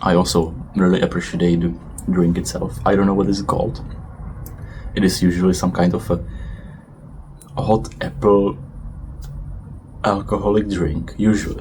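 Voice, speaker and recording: With a non-native accent and a very deep, low pitch, a man speaks at a fairly slow pace with long, frequent pauses, amid audible room echo and noticeable background noise. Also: ordinary pitch variation. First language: not English. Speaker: vlogger. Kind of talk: casual monologue vlog. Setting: outdoors on a balcony. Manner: hesitant, with fillers.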